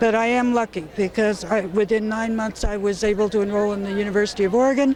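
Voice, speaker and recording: With noticeable background noise, the talking proceeds at a moderate pace. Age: 70s. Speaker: gun violence survivor and activist. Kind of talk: interview.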